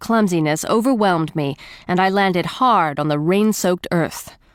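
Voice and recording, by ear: This is someone reading aloud in a natural voice. The delivery is reading aloud in a natural voice throughout.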